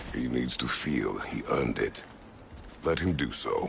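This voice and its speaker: Clear background noise sits behind a put-on character voice moving at a moderate pace. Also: man. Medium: video game. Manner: terse, clipped.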